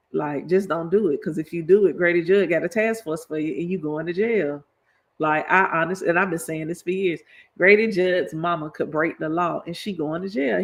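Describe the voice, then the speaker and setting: The speaker has a Florida accent. The background is quiet. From Florida (Lakeland, Polk County). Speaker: political education streamer. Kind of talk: livestreamed lecture. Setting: live stream. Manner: animated, casual.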